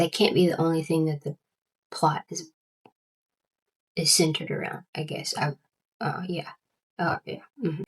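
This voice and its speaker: A woman's fairly low, somewhat breathy voice with an American accent, flat and monotone, at a moderate pace broken by long, frequent pauses, dry and close with no echo. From US South. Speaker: book vlogger. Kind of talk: casual chat. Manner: halting, frequent repetitions.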